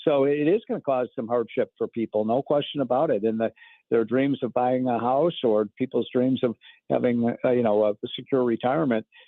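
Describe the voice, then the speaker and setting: This man has an unremarkable speaking voice and a medium pitch. He talks at a fairly quick pace with fairly even intonation. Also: very even loudness. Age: 60s. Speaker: economic commentator. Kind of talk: radio interview.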